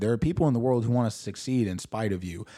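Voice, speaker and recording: A man with an American accent speaks at a medium pitch with a dark, mellow tone and ordinary pitch variation. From St. Louis, Missouri. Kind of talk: casual chat. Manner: articulate.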